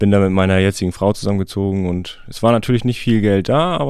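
In an ordinary speaking voice, a man speaks at a fairly low pitch with ordinary pitch variation. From Schleswig-Holstein, Heikendorf near Kiel. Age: 30s. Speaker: master electrician. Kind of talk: interview. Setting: studio.

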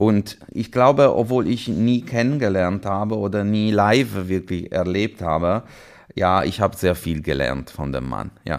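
A man with an Italian accent, fairly low-pitched and fairly slow, with lively intonation. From Italy, Liguria (Chiavari). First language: Italian (speaking German). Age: 40s. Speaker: orchestra conductor. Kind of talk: casual interview. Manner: halting, many fillers.

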